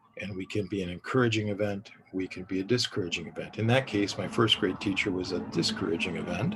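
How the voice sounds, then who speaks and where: A man talks very fast in an American accent, fairly low in pitch with fairly even intonation. Noticeable background noise sits behind him. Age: 60s. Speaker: parenting educator. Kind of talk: recorded lecture. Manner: halting.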